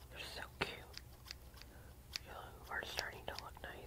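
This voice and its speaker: Whispering and soft-spoken, a woman talks at a fairly slow pace over loud background noise. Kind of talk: ASMR roleplay talk to viewer. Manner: soft close-mic ASMR whisper. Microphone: phone near.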